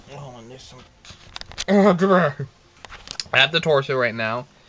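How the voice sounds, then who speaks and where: Against noticeable background noise, a man talks very slowly, his pitch swinging very widely. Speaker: crafter making plush toys. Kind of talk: casual craft tutorial vlog. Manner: sounds out of it, yawning; hesitant, halting.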